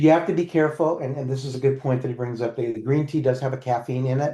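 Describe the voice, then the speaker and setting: Somewhat breathy, a man speaks at a medium pitch and a very fast pace with fairly even intonation. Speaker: nutritionist. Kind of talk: casual chat.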